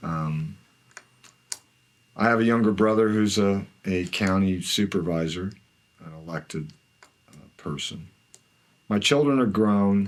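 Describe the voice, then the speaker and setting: A man with an American accent speaks at a fairly low pitch and a fairly slow pace, leaving long, frequent pauses. His pitch variation is ordinary, while his loudness swings widely. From US West, Imperial Valley, California. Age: 60s. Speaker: retired water district general manager. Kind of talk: oral history interview. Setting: office.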